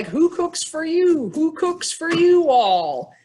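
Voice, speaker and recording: A woman puts on a character voice with an extremely high pitch. She speaks at a very slow pace. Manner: rhythmic hooting call rendered in words.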